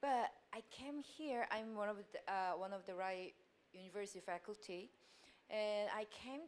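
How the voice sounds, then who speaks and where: A woman with a Korean accent speaks fairly slowly at a medium pitch, with ordinary pitch variation and long, frequent pauses. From South Korea. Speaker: university lecturer. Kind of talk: audience question. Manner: halting.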